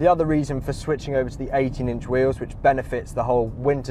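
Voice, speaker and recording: Noticeable background noise surrounds a man's voice, which sounds dry with no echo. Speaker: car reviewer. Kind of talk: casual driving review commentary. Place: car.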